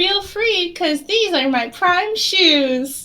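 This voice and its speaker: A woman uses a put-on character voice at an extremely high pitch. She speaks at a very slow pace with lively intonation. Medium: actual play. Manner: repetitive, vacantly cheerful.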